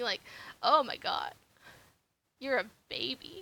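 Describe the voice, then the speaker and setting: A woman uses a raised, projected voice at a high pitch. Her tone is bright and sharp, with ordinary pitch variation. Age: 30s. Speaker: artist streaming their drawing. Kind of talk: casual chat while drawing on a live stream. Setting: live stream. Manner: hesitant, with many fillers and repeated words.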